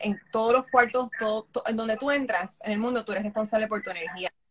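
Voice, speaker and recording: A woman speaks at a moderate pace in a fairly high voice. Her delivery is somewhat breathy. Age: 50s. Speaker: makeup artist. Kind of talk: interview.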